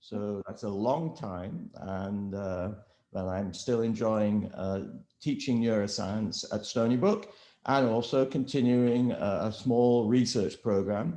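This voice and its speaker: A very slow man with an English accent, dark and mellow in tone, with ordinary pitch variation. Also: medium pitch for a man. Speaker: professor. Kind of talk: interview. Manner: halting, many fillers.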